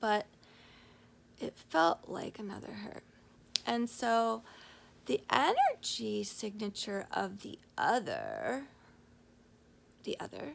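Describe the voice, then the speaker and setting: Pausing long and often, the speaker drags out a raspy put-on character voice at a very slow pace, with big swings in loudness. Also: woman, medium pitch for a woman. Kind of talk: bedtime story. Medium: solo performance. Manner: halting, relaxed, full of ums.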